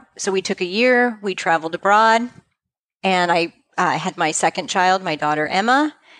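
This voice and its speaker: An unremarkable speaking voice belongs to a woman with a fairly low pitch and ordinary pitch variation. The sound is dry and close, with no echo. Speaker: practice management consultant for financial advisors. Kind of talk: interview.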